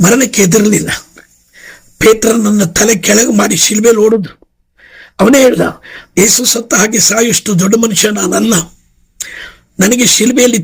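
A man speaks high for his voice, with pitch that varies in an ordinary way. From India. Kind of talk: sermon. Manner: animated.

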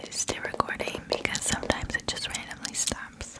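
Soft-spoken, a woman is whispering. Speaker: small channel vlogger. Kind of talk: casual vlog chat. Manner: soft close-mic ASMR whisper. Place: home room. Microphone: studio mic.

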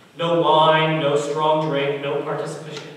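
A man's voice at a moderate pace, with strong room echo and light background noise. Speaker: preacher. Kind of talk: sermon. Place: church.

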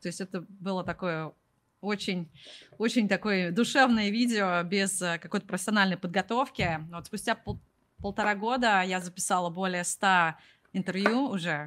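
A woman's medium-pitched voice, with ordinary pitch variation, comes at a moderate pace. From Russia. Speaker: product manager and YouTuber on job search in the US; YouTuber on job search in the US. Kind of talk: interview. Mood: frank, slightly rueful. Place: home room. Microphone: studio mic.

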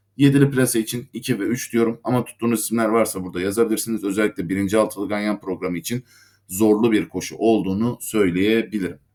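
A man's fairly low voice at a very fast pace, with fairly even intonation and hardly any pauses. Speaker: horse racing tipster. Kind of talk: betting tips monologue. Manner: halting with fillers.

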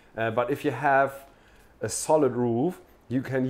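A man's voice with ordinary pitch variation. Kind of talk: interview answer. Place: office.

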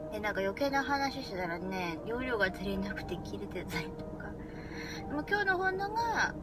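Loud background noise fills the clip. Over it, a woman talks at a moderate pace. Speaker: vlogger. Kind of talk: casual vlog talk to camera. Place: car. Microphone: phone near.

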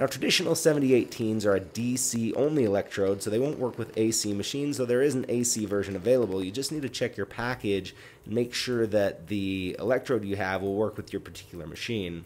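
Speaking at a fairly quick pace, a man uses a fairly low pitch, ordinary pitch variation and a slightly mellow tone.

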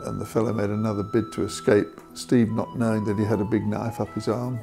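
Clear music plays in the background as a man speaks with a fairly low voice. His pace is moderate and his pitch variation ordinary. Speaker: interviewee. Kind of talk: interview answer. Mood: sombre, reflective. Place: home room. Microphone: lapel.

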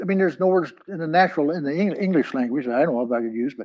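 A man's lively intonation comes through over a quiet background. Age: 80s+. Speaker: pastor. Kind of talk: sermon. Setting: church. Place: meeting room. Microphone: lapel.

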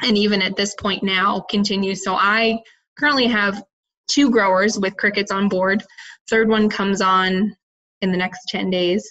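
In a US Midwestern accent, a woman speaks at a medium pitch with fairly even intonation. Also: moderate pace. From Iowa, US Midwest. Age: young. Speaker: entrepreneur, cricket farmer. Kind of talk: interview.

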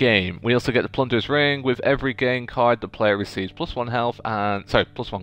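The unforced reading voice shows ordinary pitch variation.

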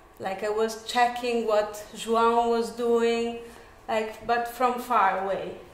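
A woman speaks in a monotone, flat intonation, with audible room echo. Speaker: lecturer, dance teacher. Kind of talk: lecture. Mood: relaxed, reflective. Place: classroom. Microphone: camera far.

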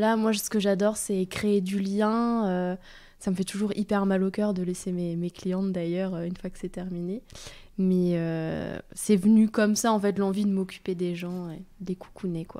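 Over a silent background in a very clean recording, a woman with a dark, mellow tone and medium pitch speaks fairly slowly with monotone, flat intonation. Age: 20s. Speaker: bridal makeup artist and hairdresser. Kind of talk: interview.

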